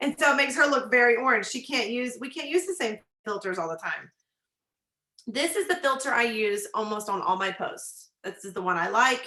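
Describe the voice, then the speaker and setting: A bright, sharp, animated voice in a Texan accent, with very wide pitch swings. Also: woman, high pitch for a woman, fairly quick pace. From Texas. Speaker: nurse and business coach. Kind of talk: tutorial. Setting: video call.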